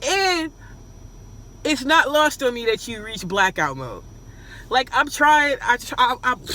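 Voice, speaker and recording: An animated tone rings out in a raised, projected voice at a fairly slow pace, with big swings in loudness. Long, frequent pauses break it up over noticeable background noise. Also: woman, high pitch for a woman, lively intonation. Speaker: reaction video host. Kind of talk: reaction commentary.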